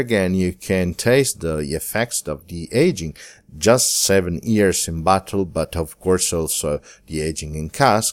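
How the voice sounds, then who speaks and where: A man with an Italian accent speaks at a fairly slow pace in a very deep, low pitch. The recording is very clean, with a silent background. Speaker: wine podcast host. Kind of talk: scripted narration.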